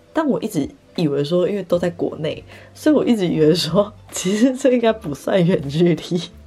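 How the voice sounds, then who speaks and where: Against noticeable background noise, a woman talks at a moderate pace in a relaxed tone, her fairly low voice making very wide pitch swings. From Taiwan, Taipei. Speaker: podcaster and content creator. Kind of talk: casual solo chat. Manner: relaxed, laughs often.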